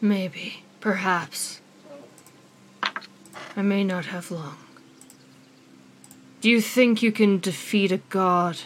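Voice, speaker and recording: In a put-on character voice, a woman speaks at medium pitch and a very slow pace, with long, frequent pauses. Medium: actual play. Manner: condescending, weary.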